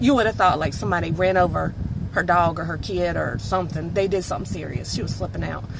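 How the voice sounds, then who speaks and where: Speaking very fast with a Southern US accent, a woman is heard through audible room echo and noticeable background noise. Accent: country (Southern). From North Carolina, US South. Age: 30s. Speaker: vlogger. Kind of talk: casual storytelling monologue. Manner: animated.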